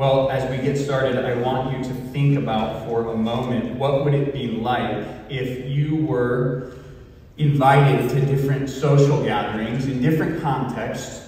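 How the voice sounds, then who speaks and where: Speech comes at a fairly slow pace in a monotone, flat intonation, with strong room echo around it. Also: man. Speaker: pastor. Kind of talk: sermon. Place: church.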